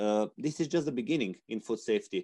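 Against a quiet background, a man with a Romanian accent speaks in a dark, mellow tone. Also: dry, close sound with no echo. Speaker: veterinarian, resource manager. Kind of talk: panel discussion.

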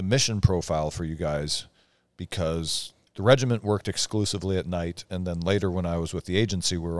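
A man with an American accent and a very deep, low voice, ordinary pitch variation and a fairly quick pace, on a very clean recording with a silent background. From eastern Washington, US. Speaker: podcast host, military veteran. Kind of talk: casual chat. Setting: studio.

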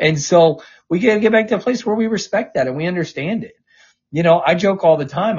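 A man with an American accent speaks at a fairly quick pace. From US South. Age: 40s. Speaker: political press secretary. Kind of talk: interview.

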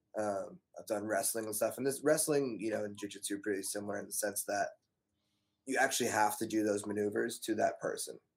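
With an American accent, a man in a normal speaking voice talks at a moderate pace with ordinary pitch variation. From Las Vegas and US East Coast. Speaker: podcast host. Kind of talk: casual chat. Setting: studio.

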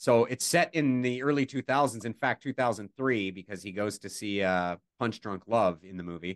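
In a normal speaking voice, a man talks at a moderate pace with hardly any pauses and a fairly low pitch with ordinary variation. The sound is dry and close with no echo, and the background is quiet. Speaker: radio co-host. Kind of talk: casual radio chat.

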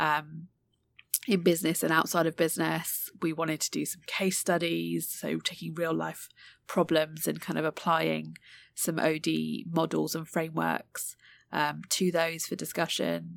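This woman speaks with a British accent. Her pace is fairly slow. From UK. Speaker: podcast co-host, executive coach. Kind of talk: casual chat. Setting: remote recording. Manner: hesitant, many filler ums.

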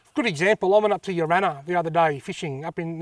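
The recording is very clean, with a silent background and a dry, close sound with no echo. The speaker has an Australian accent, a very fast pace and ordinary pitch variation. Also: man. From north-east Victoria, Australia. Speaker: fishing YouTuber. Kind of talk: casual interview. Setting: outdoors.

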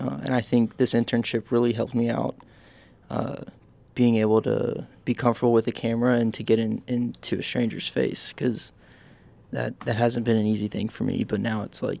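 This man's voice has a dark, mellow tone. His intonation stays fairly even. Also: very clean recording, silent background. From Nashville, Tennessee. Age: 20s. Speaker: photojournalism student intern. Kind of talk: interview.

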